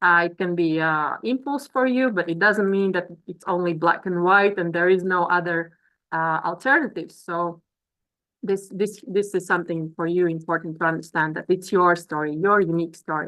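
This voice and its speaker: Speaking at a moderate pace in a Latvian accent, this woman has a fairly low pitch, ordinary pitch variation, and a bright, sharp tone. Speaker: business coach. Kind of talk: webinar presentation. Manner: halting.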